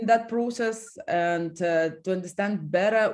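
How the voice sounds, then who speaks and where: Here a woman speaks at a medium pitch. Her pace is fairly slow and her intonation fairly even. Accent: Lithuanian. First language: Lithuanian. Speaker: company co-founder and executive. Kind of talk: interview. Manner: halting.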